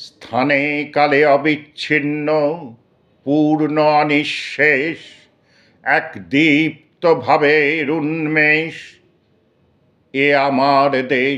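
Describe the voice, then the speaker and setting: This man's fairly high voice has a bright, sharp tone, monotone, flat intonation and very even loudness. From Kolkata. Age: 60s. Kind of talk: poetry reading.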